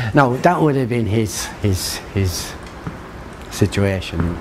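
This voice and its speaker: Speaking in an Irish accent with ordinary pitch variation, the voice comes through over noticeable background noise. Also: man. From Ireland. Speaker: local interviewee. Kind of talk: interview answer, recalling local history. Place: street.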